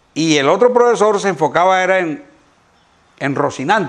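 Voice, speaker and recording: Over noticeable background noise, a man speaks fairly slowly in a high pitch with lively intonation. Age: 60s. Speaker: veterinarian and donkey expert. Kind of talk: interview chat. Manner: hesitant with fillers.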